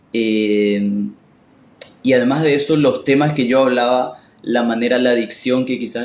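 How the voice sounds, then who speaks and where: Noticeable background noise runs under this recording. A man speaks at a moderate pace and a medium pitch. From Paraguay. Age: 20s. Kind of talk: casual interview chat.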